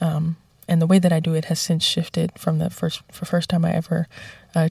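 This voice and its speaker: In an American accent, a woman speaks at a moderate pace with a fairly low pitch and a dark, mellow tone that is somewhat breathy. Her intonation is monotone and flat, and the sound is dry and close with no echo. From New York. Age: 20s. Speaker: jazz singer. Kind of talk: interview. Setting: studio.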